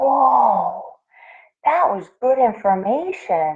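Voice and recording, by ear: In a put-on character voice, a woman speaks at a very slow pace with big pitch swings. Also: fairly high pitch for a woman.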